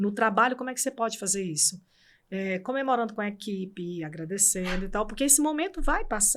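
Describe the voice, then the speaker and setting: The recording is very clean and the background silent. Her fairly quick delivery carries lively intonation as a woman. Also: medium pitch for a woman. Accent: Cearense. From Brazil, Ceará (Fortaleza). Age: 60s. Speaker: court administrator. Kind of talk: interview.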